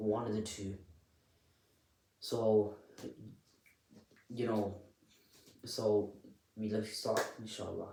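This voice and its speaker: Soft-spoken and somewhat breathy, a man with a fairly low pitch talks at a very slow pace in monotone, flat intonation, with audible room echo. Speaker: self-help vlogger. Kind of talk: unscripted tutorial. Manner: halting, repetitive.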